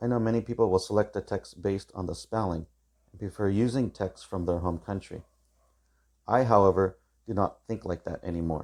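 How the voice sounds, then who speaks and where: A man with an American accent and a normal speaking voice, fairly low in pitch with ordinary pitch variation, at a fairly quick pace with big swings in loudness, on a very clean recording with a silent background. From California, US. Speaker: teacher. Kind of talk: tutorial. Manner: formal.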